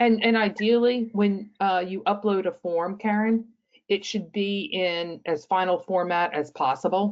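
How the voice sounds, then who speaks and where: A woman with an unremarkable speaking voice speaks at a moderate pace with ordinary pitch variation. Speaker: webinar co-host. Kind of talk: webinar Q&A.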